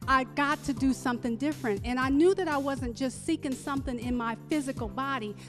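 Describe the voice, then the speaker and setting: Music can be heard behind the voice. The delivery is fairly quick. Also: woman. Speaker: holistic doctor and health educator. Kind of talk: casual interview answer telling personal story.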